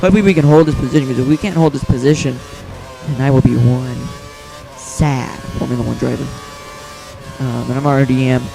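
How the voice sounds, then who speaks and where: Over noticeable background noise, a man of medium pitch talks at a very fast pace with fairly even intonation, broken by long, frequent pauses. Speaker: gaming youtuber. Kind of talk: gameplay commentary. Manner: casual, rambling.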